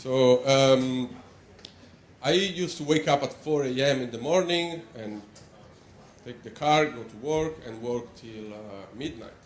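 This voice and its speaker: Amid audible room echo, a man at a medium pitch talks fairly slowly with ordinary pitch variation, big swings in loudness, and long, frequent pauses. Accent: Italian. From Italy, Rome. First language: Italian. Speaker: animator. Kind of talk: conference talk. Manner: hesitant, many fillers.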